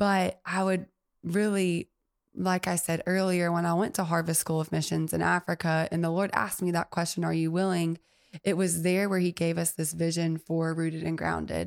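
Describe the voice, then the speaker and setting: Her speech monotone and flat, a woman with an Alabama accent talks at a moderate pace and a fairly low pitch, her loudness very even on a very clean recording with a silent background. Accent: Southern US (Alabama). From US South, Mobile, Alabama. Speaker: coffee shop owner. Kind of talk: casual interview. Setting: studio.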